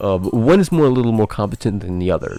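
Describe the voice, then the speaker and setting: With noticeable background noise, a man speaks in an animated tone. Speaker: anime reaction youtuber. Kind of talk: casual reaction commentary. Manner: stammering, repeats words.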